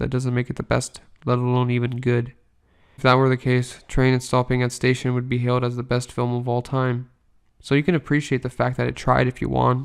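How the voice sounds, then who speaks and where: The delivery is deadpan and bored, with monotone, flat intonation. It moves at a fairly quick pace. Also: man, medium pitch for a man. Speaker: movie reviewer. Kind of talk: scripted review monologue. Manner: monotone, bored-sounding; deadpan sarcastic.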